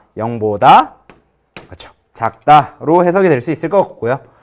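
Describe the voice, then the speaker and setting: Very wide swings in pitch mark this man's speech. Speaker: high school math teacher. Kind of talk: lecture.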